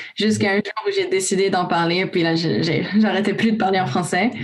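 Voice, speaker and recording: At a moderate pace, a woman speaks with ordinary pitch variation amid noticeable background noise and audible room echo. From Romania, raised in Canada from age 5. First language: Romanian (speaking French). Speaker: youth volunteer. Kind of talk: casual panel discussion.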